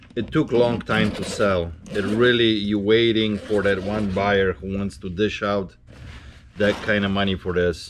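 Amid noticeable background noise, a man with a fairly low pitch speaks at a moderate pace and ordinary pitch variation. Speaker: reseller shop owner. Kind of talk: casual vlog chat. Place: shop. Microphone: camera far.

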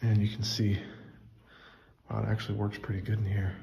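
Fairly low-pitched male voice over light background noise. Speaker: travel vlogger. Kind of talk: casual vlog chat. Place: tunnel cave. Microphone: phone near.

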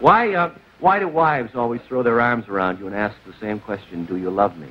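An unremarkable speaking voice from a man, lively intonation at a fairly quick pace, light background noise behind him. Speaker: TV show host. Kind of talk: stand-up monologue on a TV talk show, with a studio audience. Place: studio.

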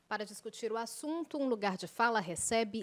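With a plain, everyday voice, a woman speaks at a moderate pace in a fairly high pitch with lively intonation, the sound dry and close with no echo. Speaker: TV and radio debate host. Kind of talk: broadcast debate moderation. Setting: studio.

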